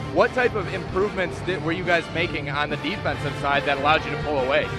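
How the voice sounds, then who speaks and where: Over music in the background, the speaker talks at a very fast pace. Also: man. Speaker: sports broadcaster. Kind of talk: post-game interview questions and broadcast sign-off.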